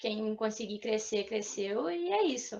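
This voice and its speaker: A woman talks at a fairly slow pace. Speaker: forestry student presenter. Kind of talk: student seminar presentation.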